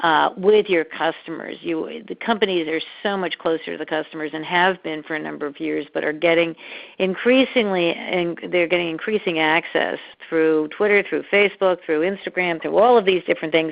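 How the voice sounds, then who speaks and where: Using a normal speaking voice, a woman talks at a fairly quick pace. Her pitch is fairly low, with ordinary pitch variation. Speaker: measurement consultant, webinar presenter. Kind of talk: webinar presentation. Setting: webinar by phone line.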